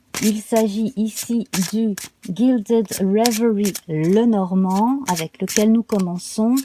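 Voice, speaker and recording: Her tone dark and mellow, a woman talks very slowly. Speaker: tarot reader. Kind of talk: tarot reading guidance video. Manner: calm, soothing.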